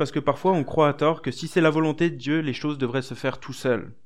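His pitch sits fairly high. A man is talking at a very fast clip. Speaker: preacher. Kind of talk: sermon, expository Bible study. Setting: church. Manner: conversational, earnest and encouraging; hesitant, with fillers and repeated words.

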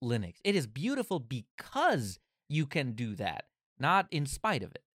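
On a very clean recording with a silent background, a man's voice comes through dry and close, with no echo. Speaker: podcast co-host. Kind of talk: casual chat. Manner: bubbly, lively.

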